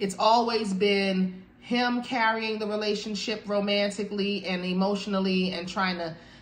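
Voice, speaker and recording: A woman speaks in a monotone, flat way with hardly any pauses. Audible room echo surrounds her voice. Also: moderate pace. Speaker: tarot reader. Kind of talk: tarot reading commentary. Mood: warm, encouraging. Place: home room. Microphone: phone near.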